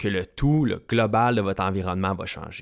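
Recorded very cleanly against a silent background, a man with a Quebec accent speaks at a fairly slow pace with ordinary pitch variation. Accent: Québécois French. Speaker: fitness coach and podcast host. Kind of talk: solo podcast monologue. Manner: casual, with English interjections.

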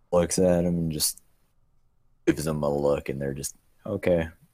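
Recorded very cleanly against a silent background, a man speaks at a fairly slow pace. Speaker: podcast co-host. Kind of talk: casual chat, live stream.

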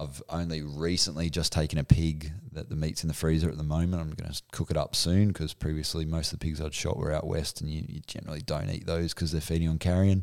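With an Australian accent, a man talks at a very fast pace in a very deep, low voice, with hardly any pauses. His intonation is monotone and flat, on a very clean recording with a silent background. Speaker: hunting podcast co-host. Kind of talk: casual chat.

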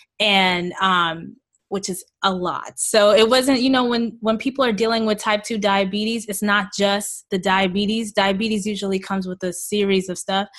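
A woman with a New York accent speaks at a moderate pace with hardly any pauses. Her medium pitch holds a fairly even intonation over a quiet background. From Queens, New York, to Jamaican parents. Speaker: holistic health coach and raw food advocate. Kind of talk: interview.

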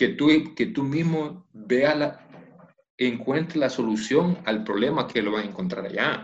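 Music plays in the background as a man with a fairly high pitch talks at a fairly slow pace, his intonation lively. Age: 50s. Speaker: former footballer and coach. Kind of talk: interview.

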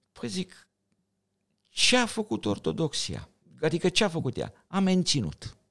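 Speaking at a fairly slow pace with long, frequent pauses, a man uses a fairly high pitch that swings very widely, with vocal fry. The recording is very clean, with a silent background. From Romania, Bucharest. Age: 60s. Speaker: thoracic surgeon and sci-fi writer. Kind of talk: podcast interview.

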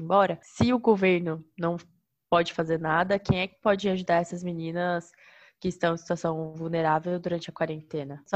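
A woman speaks at a moderate pace in a fairly low pitch, against a quiet background. Her intonation is flat and monotone. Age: 20s. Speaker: teacher. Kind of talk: casual chat.

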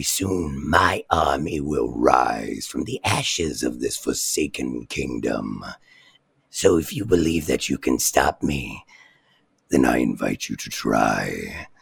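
Raspy and unhurried, the put-on character voice proceeds at a fairly slow pace. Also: woman, very deep, low pitch for a woman. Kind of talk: tabletop game master villain voice, demo-reel acting. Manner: calm, psychologically cruel; menacing, taunting, contemptuous.

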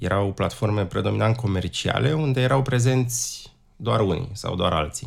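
This man's fairly low voice carries audible vocal fry. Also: lively intonation, moderate pace. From Romania, Prahova county. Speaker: wine atlas creator, carpenter, former tour guide. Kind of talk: interview.

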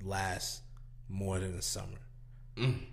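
At a moderate pace, this man talks with an American accent. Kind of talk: casual chat.

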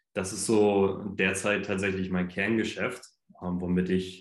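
The speech is very slow and monotone, with flat intonation and audible room echo. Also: man. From northern Germany, Hamburg. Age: 20s. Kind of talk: casual chat.

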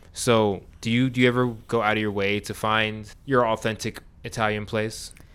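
A man with an American accent talks at a moderate pace and a medium pitch. His intonation is monotone and flat. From New York. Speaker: podcast co-host. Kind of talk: casual chat.

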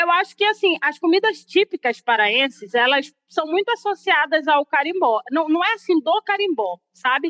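Extremely high for a woman, her voice has a bright, sharp tone. It swings very widely in pitch while staying very even in loudness. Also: moderate pace, hardly any pauses, dry, close sound with no echo. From Belém, Pará, Brazil. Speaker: carimbó dancer. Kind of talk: interview monologue.

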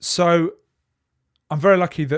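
A man with an English accent in a very clean recording over a silent background. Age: 20s. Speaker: camera journalist. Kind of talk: interview.

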